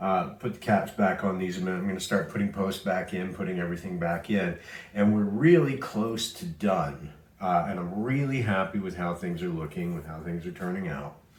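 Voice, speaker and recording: Relaxed man with a fairly low pitch at a moderate pace, with audible room echo. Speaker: pinball restoration video maker. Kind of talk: casual restoration vlog / tutorial. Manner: relaxed, with many filler words.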